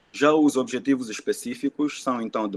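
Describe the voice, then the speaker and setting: A man speaks at a moderate pace in a dry, close recording with no echo. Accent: Angolan. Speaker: environmental engineer. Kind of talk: presentation.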